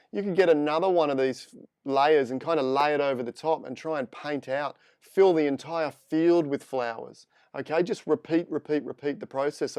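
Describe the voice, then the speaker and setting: Against a quiet background, a man with an Australian accent speaks at a moderate pace in a fairly high pitch, with ordinary pitch variation. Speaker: photo editing instructor. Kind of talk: live tutorial. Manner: casual, chatty.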